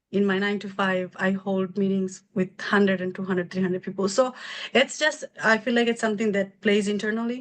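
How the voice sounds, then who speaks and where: Using fairly even intonation, a woman talks at a fairly quick pace and a medium pitch. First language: not English (English is third language). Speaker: medical billing business owner. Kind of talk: interview.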